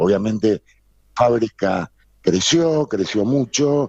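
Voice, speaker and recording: Very slow pace with ordinary pitch variation, in a dry, close sound with no echo. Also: man. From Argentina, Buenos Aires. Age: 60s. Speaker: textile business owner. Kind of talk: interview.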